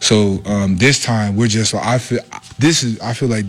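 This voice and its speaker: Fairly low pitch from a man, with noticeable background noise. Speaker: college football player. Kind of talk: press interview.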